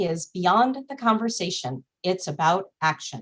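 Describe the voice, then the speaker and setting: A woman talks at a moderate pace with a medium pitch. Her pitch swings very widely. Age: middle-aged. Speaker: nonprofit executive, event opener. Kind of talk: webinar welcome and housekeeping. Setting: Zoom webinar. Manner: formal.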